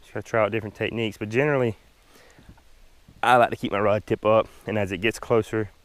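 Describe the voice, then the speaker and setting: With a Southern US accent, a man talks at a fairly quick pace in a monotone, flat intonation. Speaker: fishing vlogger. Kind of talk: casual chat while fishing, tutorial. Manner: hesitant, repeats words.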